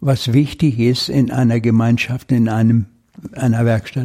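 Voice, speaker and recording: The tone is dark and mellow. There is a somewhat breathy quality. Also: man. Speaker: retired mechanical engineer working in a carpentry workshop. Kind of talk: interview. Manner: halting.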